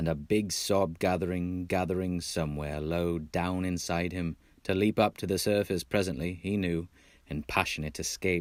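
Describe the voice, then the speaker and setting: A man with an American accent speaks at a very deep, low pitch. The recording is very clean and the background silent. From Texas. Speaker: audiobook narrator. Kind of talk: audiobook reading.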